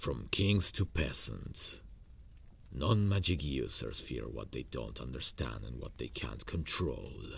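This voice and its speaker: Putting on a character voice, a man speaks at a fairly slow pace with a very deep, low pitch and very wide pitch swings, with clear background noise behind him. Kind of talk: romantic ASMR roleplay. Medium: audio drama. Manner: intimate, confident, softly menacing.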